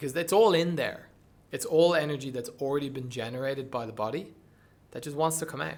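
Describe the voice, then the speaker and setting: A man with a Dublin accent talks at a very fast pace. His pitch is fairly high, with ordinary pitch variation. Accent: Dublin Irish. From Dublin, Ireland. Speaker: breathwork coach and performer. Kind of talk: podcast interview answer.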